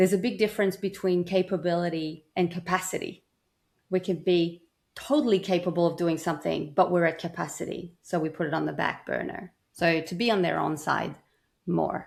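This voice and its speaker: A woman talks at a fairly quick pace. Her pitch is fairly low, and her intonation fairly even. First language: not English. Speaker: burnout prevention coach. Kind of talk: interview.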